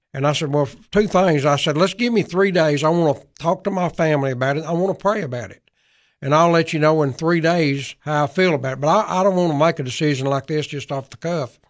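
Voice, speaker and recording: A man with a Tennessee accent, fairly high pitch, ordinary pitch variation and a very fast pace, over a quiet background. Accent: Southern US (Tennessee). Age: 70s. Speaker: former state legislator and county government official. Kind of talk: radio interview. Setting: radio studio.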